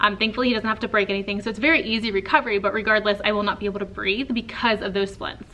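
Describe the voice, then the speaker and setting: A woman with an American accent, fairly high-pitched and animated, at a very fast pace over noticeable background noise. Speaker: teacher and vlogger. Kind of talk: casual vlog talk. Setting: classroom. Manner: animated, chatty.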